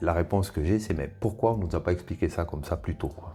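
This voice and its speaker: Over music in the background, a man speaks with a very deep, low pitch and ordinary pitch variation. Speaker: former vocational teacher, trainer and school coach. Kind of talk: interview answer.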